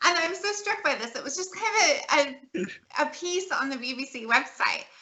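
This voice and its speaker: A woman with an American accent speaks at a moderate pace, her extremely high voice swinging very widely in pitch. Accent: American accent, noticeable. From California. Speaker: political scientist. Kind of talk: interview. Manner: halting, many restarts.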